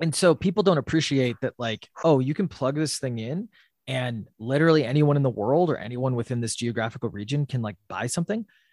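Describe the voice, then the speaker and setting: A man with an ordinary speaking voice and a medium pitch talks at a fairly quick pace with lively intonation. The recording is very clean, with a silent background and a dry, close sound with no echo. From US Midwest, Wisconsin. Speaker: startup CEO and co-founder. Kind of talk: podcast interview. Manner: many filler words.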